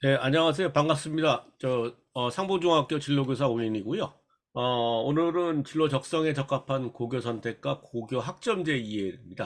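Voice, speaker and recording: This man has a fairly high pitch with ordinary pitch variation. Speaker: school career counselor. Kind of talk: lecture. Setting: online remote lecture. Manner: fast.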